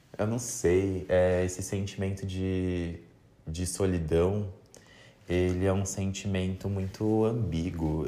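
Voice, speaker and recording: Through audible room echo, a man speaks in a relaxed, dark, mellow tone at a very deep, low pitch with fairly even intonation. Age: 20s. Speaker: podcaster, journalist. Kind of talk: casual monologue. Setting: bedroom at home. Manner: relaxed, laughing.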